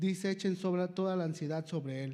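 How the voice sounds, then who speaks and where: The man's dark, mellow tone carries ordinary pitch variation amid audible room echo. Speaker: lay preacher. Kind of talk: sermon.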